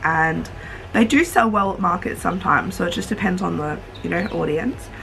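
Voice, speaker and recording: A woman talks at a fairly quick pace. There is light background noise. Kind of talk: casual vlog chat. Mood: cheerful and relaxed. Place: home room. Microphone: phone near.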